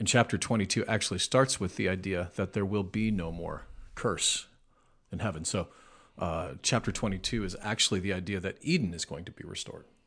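A man with an American accent talks at a fairly quick pace in an ordinary speaking voice. His pitch is fairly low with ordinary variation, against a quiet background. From Nebraska, US Midwest. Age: 40s. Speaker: lead pastor. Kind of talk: casual chat.

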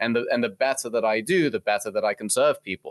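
A man talks at a fairly quick pace. The sound is dry and close, with no echo. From England. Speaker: mortgage broker. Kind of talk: casual interview. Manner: animated.

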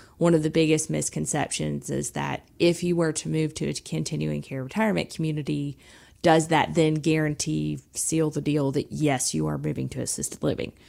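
A woman with a Southern US accent talks at a moderate pace on a very clean recording with a silent background. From South Georgia. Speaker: senior living sales director. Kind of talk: radio interview.

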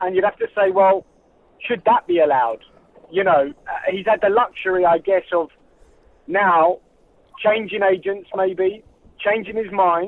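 A man with a high pitch and ordinary pitch variation talks at a fairly slow pace. Long, frequent pauses break up his speech. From England. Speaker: former footballer. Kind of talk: casual chat.

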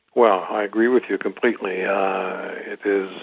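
A man with an American accent talks at a fairly slow pace, his fairly low voice holding a fairly even intonation. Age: 60s. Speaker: author and former diplomat. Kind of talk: interview. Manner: hesitant with many fillers.

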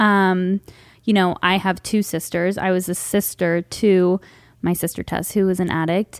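Her medium-pitched voice holds a fairly even intonation. This woman is heard on a very clean recording with a silent background. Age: 20s. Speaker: podcast host. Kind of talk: casual interview chat. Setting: studio with headphones.

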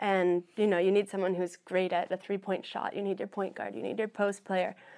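Against a quiet background, a woman with an American accent talks at a medium pitch and a fairly quick pace. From Colorado. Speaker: apparel entrepreneur. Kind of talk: panel interview.

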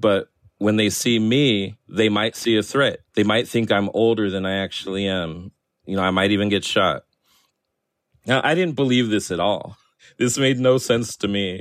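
Using an unremarkable speaking voice, a man of fairly low pitch talks at a moderate pace with ordinary pitch variation. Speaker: cartoonist and author. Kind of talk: interview.

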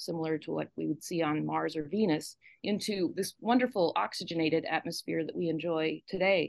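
With vocal fry, a woman speaks in a fairly low pitch. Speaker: geology professor. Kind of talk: radio interview. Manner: thoughtful, reflective.

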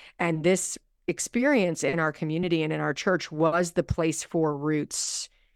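With a normal speaking voice at a fairly low pitch, a woman talks at a moderate pace with fairly even intonation, in a very clean recording with a silent background and a dry, close sound with no echo. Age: 40s. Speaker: pastor and author. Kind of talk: casual chat.

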